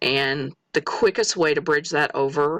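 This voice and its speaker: A woman with an American accent, very deep and low in pitch, at a fairly slow pace. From US Midwest, Missouri. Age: 40s. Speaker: respiratory therapist and student. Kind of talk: self-introduction monologue. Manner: halting, with fillers.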